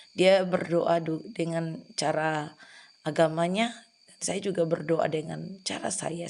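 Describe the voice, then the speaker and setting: Vocal fry runs through this fairly slow delivery, its intonation fairly even. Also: woman. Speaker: hospital prayer minister. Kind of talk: testimony.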